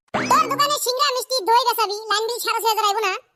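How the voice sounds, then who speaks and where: A squeaky, cartoonish character voice. It moves at a fairly quick pace. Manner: rude, short-tempered.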